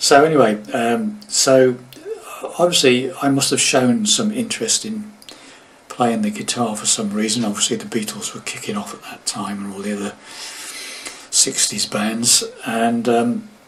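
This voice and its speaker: At a moderate pace and medium pitch, a man makes very wide pitch swings and big swings in loudness, with long, frequent pauses and noticeable background noise. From England, moved around the UK. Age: 70s. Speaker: guitar teacher. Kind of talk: casual talk to camera. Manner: halting, many fillers.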